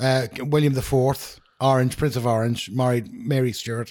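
With a Northern Irish accent, a man speaks at a fairly slow pace in a medium pitch. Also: very clean recording, silent background. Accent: Northern Irish, Newry. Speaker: podcast co-host. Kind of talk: casual banter chat.

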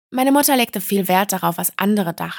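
Her medium-pitched voice lively in intonation, a woman talks at a fairly quick pace in a dry, close recording with no echo. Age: 30s. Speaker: podcast host. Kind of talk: personal testimony monologue.

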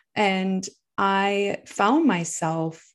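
A woman with a medium pitch speaks with ordinary pitch variation over a quiet background. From United States. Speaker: poet and speaker. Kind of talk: interview conversation. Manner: speeds up and pitch rises when excited.

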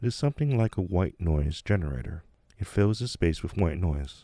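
A man's somewhat breathy voice, calm and soothing, dark and mellow in tone, on a very clean recording with a silent background. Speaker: meditation teacher and podcast host. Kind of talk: guided meditation. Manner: slow, calm, soothing, hushed, with long pauses; gently instructive, second-person storytelling.

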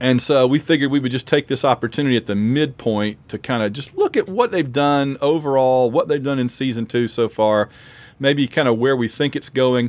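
An ordinary speaking voice from a man with an American accent, medium-pitched, fairly even in intonation, fairly quick, in a very clean, dry, close recording with a silent background and no echo. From Alabama, US South. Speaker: podcast host. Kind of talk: casual chat.

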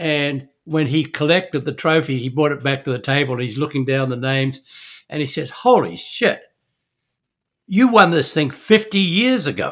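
On a very clean recording with a silent background, a man with a fairly high pitch speaks at a moderate pace with lively intonation. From New Zealand. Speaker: veteran yachtsman and businessman. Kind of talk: interview.

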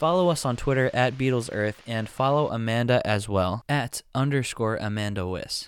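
In a very clean recording with a silent background, a man with a medium pitch talks at a moderate pace with ordinary pitch variation and hardly any pauses. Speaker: podcast host. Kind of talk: interview.

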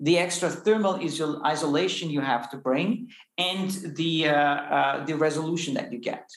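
A man with a German accent speaks at a moderate pace, with audible room echo and noticeable background noise. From Austria. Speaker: space company founder and CEO. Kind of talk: interview conversation. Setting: in-person recording. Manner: hesitant with fillers.

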